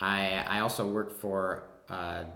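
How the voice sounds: Speaking with a Wisconsin accent, a man has a low pitch. His tone is fairly bright. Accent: Wisconsin, American Midwest.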